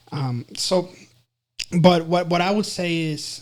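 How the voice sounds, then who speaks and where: In a Spanish accent, a man speaks fairly slowly with fairly even intonation. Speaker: counselor and psychology instructor. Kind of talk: interview conversation. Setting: podcast. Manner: halting, many fillers and repetitions.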